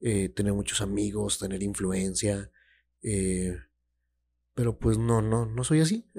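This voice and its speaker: With a Mexican accent and a dark, mellow tone, the speaker goes very slowly with long, frequent pauses and ordinary pitch variation. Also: man, fairly low pitch for a man. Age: 20s. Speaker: podcaster. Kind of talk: casual monologue. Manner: hesitant, many fillers.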